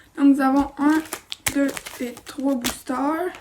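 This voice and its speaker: Soft-spoken and high-pitched, a woman talks at a very slow pace with monotone, flat intonation over noticeable background noise. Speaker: toy unboxing youtuber. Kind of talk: unboxing video.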